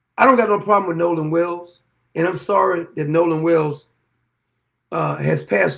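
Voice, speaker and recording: In a very clean recording with a silent background, a man with a high voice speaks in an animated tone with ordinary pitch variation. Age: 60s. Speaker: political commentary host. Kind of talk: opinion monologue.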